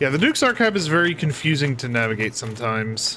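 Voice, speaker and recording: Over noticeable background noise, a man with a fairly high pitch talks loudly in an animated tone at a moderate pace, with very wide pitch swings. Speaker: gaming youtuber. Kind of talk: let's play commentary. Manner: casual, animated.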